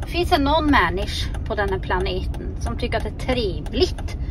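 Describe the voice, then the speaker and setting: Recorded with a dry sound and no echo, a woman talks at a moderate pace over noticeable background noise. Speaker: vlogger. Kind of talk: casual vlog chat. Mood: joking, exasperated. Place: car. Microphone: phone near.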